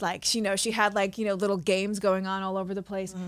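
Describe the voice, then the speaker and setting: A speaker with an American accent, recorded very cleanly against a silent background. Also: woman. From Queens, New York. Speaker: comedian and actress. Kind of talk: interview answer. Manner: casual, chatty.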